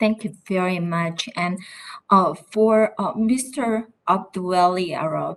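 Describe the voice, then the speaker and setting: A medium-pitched woman's voice with a Korean accent, very slow in pace, with ordinary pitch variation. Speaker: politician. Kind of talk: congressional hearing questioning.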